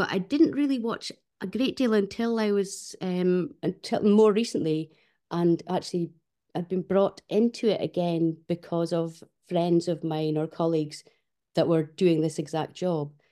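Her fairly low, dark and mellow voice carries a Shetland accent as this woman speaks at a fairly slow pace. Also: ordinary pitch variation. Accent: Shetland Scottish. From Fair Isle, Shetland. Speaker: musician and composer. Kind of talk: casual interview. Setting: video call.

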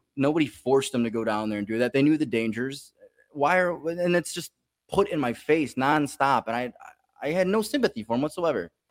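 With an ordinary speaking voice, a man talks at a fairly quick pace with a fairly high pitch and lively intonation, the sound dry and close with no echo. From Chicago. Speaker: comedian. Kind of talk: casual chat.

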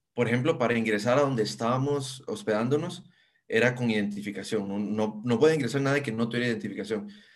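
A man with a medium pitch and ordinary pitch variation speaks very fast, with audible echo in the room. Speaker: software engineer. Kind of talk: interview. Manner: halting.

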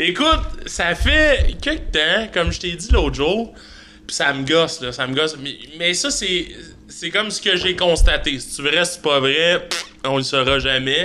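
A man's high voice with lively intonation at a fairly slow pace, over noticeable background noise. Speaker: podcast host. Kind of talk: casual chat.

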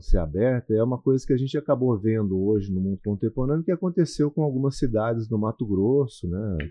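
Heard in an ordinary speaking voice, the speech moves at a fairly quick pace with lively intonation. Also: man. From Paraná interior, Brazil. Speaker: radio announcer and real estate broker. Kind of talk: casual interview.

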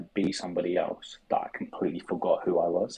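At a moderate pace, a man talks with a South London accent. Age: 20s. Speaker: sports content creator. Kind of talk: casual chat.

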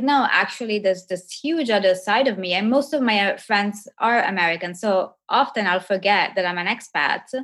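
A woman with an Italian accent talks at a moderate pace and a medium pitch. Her intonation is lively. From Italy. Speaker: professor and coach for women entrepreneurs. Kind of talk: casual interview conversation. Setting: video call.

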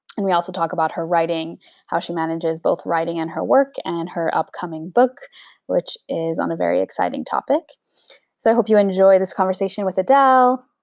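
In a dry, close sound with no echo and a very clean recording over a silent background, a woman with a fairly low pitch and a normal speaking voice talks at a fairly quick pace with lively intonation. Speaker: podcast host. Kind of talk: casual interview conversation.

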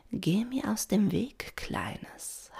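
A female-sounding, put-on character voice sits fairly high in pitch. It comes across breathy and raspy. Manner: menacing.

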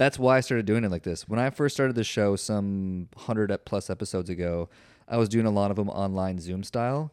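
With an ordinary speaking voice, a man talks at a fairly low pitch and a fairly quick pace, showing ordinary pitch variation against a quiet background. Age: 30s. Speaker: podcast host. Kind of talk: casual interview chat.

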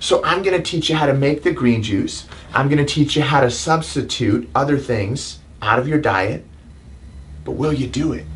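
Audible room echo carries a man's fairly high-pitched voice. He speaks at a moderate pace with ordinary pitch variation. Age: 30s. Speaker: chiropractor and self-help video host. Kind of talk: motivational talk. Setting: live stream. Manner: animated.

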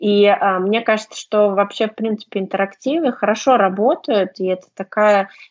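Speaking fairly slowly, a woman uses ordinary variation in her pitch. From Russia, Saint Petersburg. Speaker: English teacher and blogger. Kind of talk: casual chat.

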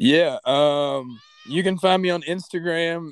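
With a normal speaking voice, a man talks at a fairly slow pace and with fairly even intonation on a very clean recording with a silent background. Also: dry, close sound with no echo. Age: 20s. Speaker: mixed martial arts fighter. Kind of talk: casual chat.

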